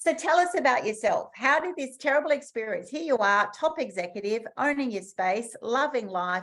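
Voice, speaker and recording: A woman with an Australian accent talks at a moderate pace with hardly any pauses and a high pitch. Her tone is animated, with very wide pitch swings. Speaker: summit host. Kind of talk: online interview.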